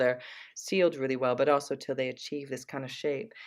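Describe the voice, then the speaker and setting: With an American accent, the speaker moves at a fairly quick pace. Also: woman. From United States. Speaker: artist. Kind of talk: casual interview. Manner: halting, many fillers.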